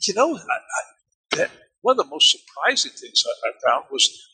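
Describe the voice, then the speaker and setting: With an American accent, a man speaks at a moderate pace in a dry, close sound with no echo. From Germany (US military family). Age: 60s. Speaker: military historian and author. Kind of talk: interview. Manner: halting, repeats words.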